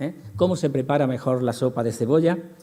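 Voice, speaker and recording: With ordinary pitch variation, a man speaks at a moderate pace while audible room echo fills the space. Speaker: lecturer in behavior analysis. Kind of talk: conference lecture. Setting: conference hall with audience.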